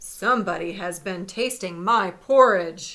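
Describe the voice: A woman's put-on character voice, raspy and medium in pitch, at a fairly slow pace in a very clean recording with a silent background.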